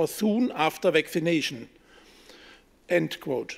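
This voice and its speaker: High pitch for a man, with ordinary pitch variation. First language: German. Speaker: politician. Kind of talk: press conference statement read from script. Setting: press conference.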